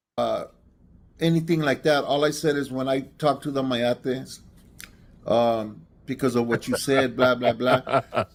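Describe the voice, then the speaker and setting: A man with an American accent speaks at a fairly slow pace in a medium-pitched voice, with fairly even intonation and long, frequent pauses. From East Los Angeles, US West Coast. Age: 60s. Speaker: caller. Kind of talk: heated debate. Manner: halting.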